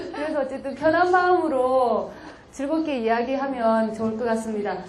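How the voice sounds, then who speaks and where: A high-pitched woman in a Busan accent, lively in intonation, at a moderate pace, with audible room echo. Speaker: community activist lecturer. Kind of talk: lecture. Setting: lecture hall with audience. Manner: conversational, engaging audience.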